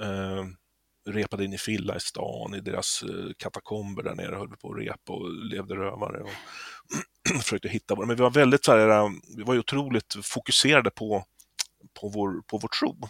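A man speaks in a plain, everyday voice, pitched fairly low, with fairly even intonation. His loudness swings widely, and the sound is dry and close with no echo. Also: moderate pace. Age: 50s. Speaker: musician. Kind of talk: interview.

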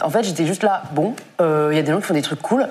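A woman speaks with lively intonation. Audible room echo is present. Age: 20s. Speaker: content creator and author. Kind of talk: live stream panel discussion. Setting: studio.

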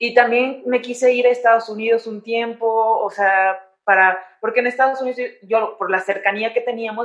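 Speaking in an ordinary speaking voice, a woman with a fairly high pitch keeps a moderate pace and fairly even intonation. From Mexico, San Luis de la Paz, Guanajuato. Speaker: orthopedic surgeon and athlete. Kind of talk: interview.

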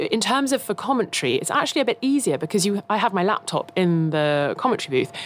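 Over noticeable background noise, a woman speaks at a fairly quick pace in a southern English accent. Her pitch swings very widely. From England, Kent. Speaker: F1 broadcaster. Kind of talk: casual chat.

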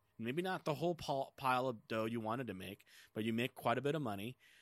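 On a very clean recording with a silent background, a man of medium pitch uses an ordinary speaking voice with ordinary pitch variation. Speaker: gaming podcast co-host. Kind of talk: casual chat.

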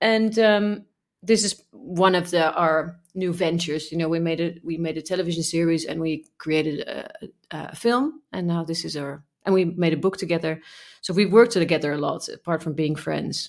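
A woman speaks in a Dutch accent. Her pitch is fairly low. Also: ordinary pitch variation, moderate pace. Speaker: podcast co-host. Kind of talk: casual chat.

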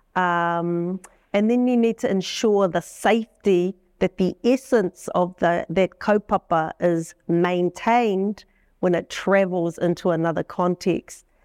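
A woman with a New Zealand accent, medium pitch and fairly even intonation, at a fairly slow pace with very even loudness, in a dry, close sound with no echo and a very clean recording with a silent background. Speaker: business lecturer. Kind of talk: panel discussion. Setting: stage with audience.

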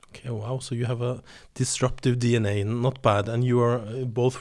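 Speaking at a moderate pace, a man with a Norwegian accent keeps a medium pitch and monotone, flat intonation. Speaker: podcast host for a business sustainability network. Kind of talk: interview podcast. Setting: studio.

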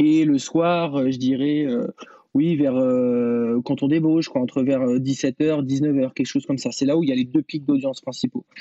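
A man speaks at a fairly slow pace and fairly high pitch, with monotone, flat intonation and very even loudness. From France, Vienne (near Poitiers). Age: 20s. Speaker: radio host. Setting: video call. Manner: halting, many fillers.

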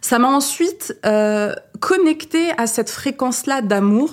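Her intonation bounces with life. This woman's voice sits high in pitch. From France, Saint-Étienne. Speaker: journalist and spiritual podcaster. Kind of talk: casual interview. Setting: studio, seated back to back with host. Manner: animated.

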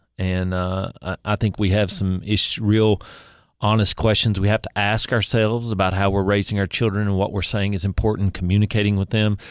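The recording is very clean, with a silent background. A man talks at a fairly quick pace in a fairly low, monotone, flat voice. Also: dry, close sound with no echo. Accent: East Tennessee. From Upper East Tennessee (Kingsport). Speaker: state legislator. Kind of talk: interview.

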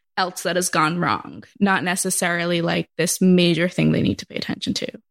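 A woman speaks at a moderate pace in a fairly low pitch, her voice showing vocal fry and fairly even intonation. The recording is very clean, with a silent background. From Massachusetts. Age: 20s. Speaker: schoolteacher. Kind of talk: casual chat. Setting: at home in quarantine.

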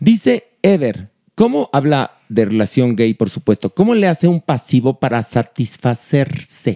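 Fairly slow and very even in loudness, this dark, mellow voice makes very wide pitch swings in a dry, close sound with no echo. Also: man, medium pitch for a man. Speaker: podcast host. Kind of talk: casual chat.

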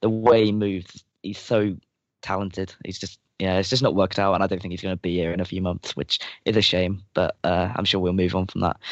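In an English accent, a man speaks with a very deep, low pitch and monotone, flat intonation. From England. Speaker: football writer and fan panelist. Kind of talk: casual chat.

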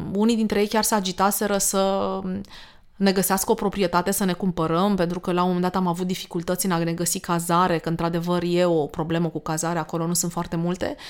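Speaking at a fairly quick pace, a woman keeps her intonation monotone and flat. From Romania, Danube region. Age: 40s. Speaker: podcast host. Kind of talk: casual chat.

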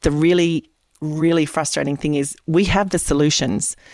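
Speaking with an Australian accent, a woman has a very deep, low pitch. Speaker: independent political candidate. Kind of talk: interview.

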